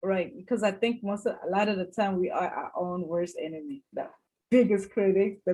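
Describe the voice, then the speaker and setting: A woman's medium-pitched voice, with ordinary pitch variation, proceeds at a moderate pace. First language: not English (English is her third language). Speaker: cybersecurity professional, panelist. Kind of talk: webinar panel discussion.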